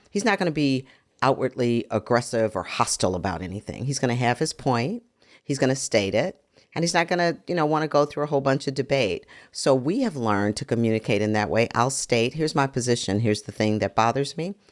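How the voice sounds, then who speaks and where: A woman with a very deep, low pitch talks at a very fast pace with lively intonation on a very clean recording with a silent background. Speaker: podcast co-host. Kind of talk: casual chat.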